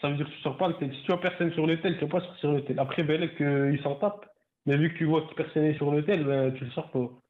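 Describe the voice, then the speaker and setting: A man with a fairly high pitch and fairly even intonation, at a very fast pace. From northern France (Nord). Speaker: caller, ride-hail driver. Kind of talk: casual chat. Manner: halting.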